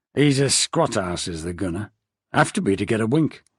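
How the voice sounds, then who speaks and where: Using a put-on character voice, a man speaks at medium pitch with a raspy quality and very wide pitch swings. His pace is moderate, and the sound is dry and close with no echo. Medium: read story. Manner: folksy.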